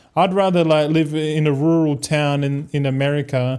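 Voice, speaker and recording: Here a man speaks with an Australian accent at a fairly high pitch. His pace is fairly slow and his intonation fairly even. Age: 30s. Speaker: gaming streamer. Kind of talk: casual chat.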